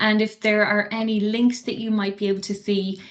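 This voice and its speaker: Here is a woman with an Irish accent. She speaks at a moderate pace. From Ireland. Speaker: associate professor. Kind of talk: lecture.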